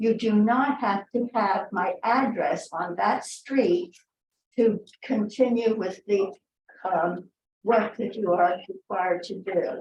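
Somewhat breathy and medium in pitch, a woman speaks at a very slow pace. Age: 80s+. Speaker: member of the public commenting. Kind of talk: public comment at meeting. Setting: public meeting.

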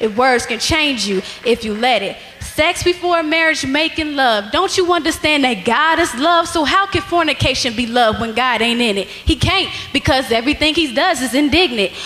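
A woman speaks at a moderate pace in a raised, projected voice. Her pitch is high. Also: lively intonation. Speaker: spoken word poet. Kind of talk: spoken word poetry performed at a church rally. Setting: church stage with audience. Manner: animated; forceful, rhythmic, rhyming delivery. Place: church. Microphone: handheld.

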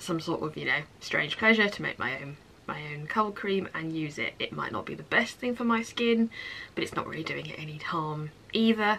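Light background noise sits under a woman speaking at a moderate pace, her fairly low pitch carrying a bright, sharp tone. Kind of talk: casual vlog chat. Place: home room. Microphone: phone near.

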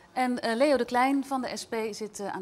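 Light background noise sits behind a woman talking. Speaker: TV presenter. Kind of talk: TV debate show presenting. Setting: studio in a museum. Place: studio. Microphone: lapel.

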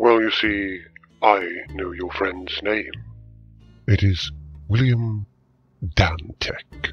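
Faint music plays behind a man who speaks very slowly at a fairly low pitch, with ordinary pitch variation and long, frequent pauses. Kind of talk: audio drama acting. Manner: smooth, cryptic, faintly menacing.

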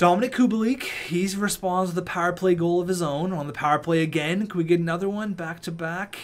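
A man with a high pitch talks at a fairly quick pace in an animated tone, with ordinary pitch variation and noticeable background noise. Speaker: gaming YouTuber. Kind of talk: video game let's play with live play-by-play commentary. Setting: home recording of gameplay, studio-style voiceover. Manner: animated, excitable, shouting reactions mid-game.

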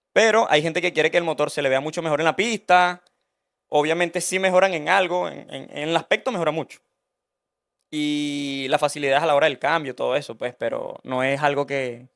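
With a quiet background behind him, a man speaks at a fairly quick pace in a fairly high voice with ordinary pitch variation. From Venezuela (Barquisimeto area); Venezuela. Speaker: Honda engine mechanic; podcast guest. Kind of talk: casual interview. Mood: relaxed, conversational. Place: studio. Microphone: studio mic.

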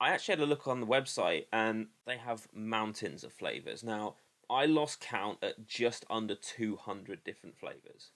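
At a moderate pace and with hardly any pauses, a man talks with ordinary pitch variation over a quiet background. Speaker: product reviewer. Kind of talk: casual review vlog. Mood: unimpressed, critical. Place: home room. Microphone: webcam.

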